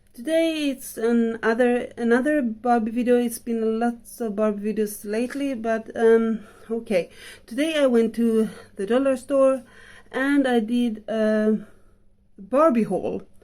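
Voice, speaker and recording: A dark, mellow tone with a non-native accent, a fairly slow pace and fairly even intonation. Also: woman, fairly high pitch for a woman. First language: not English. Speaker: vlogger. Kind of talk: casual haul review. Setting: at home in bedroom. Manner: halting, many fillers.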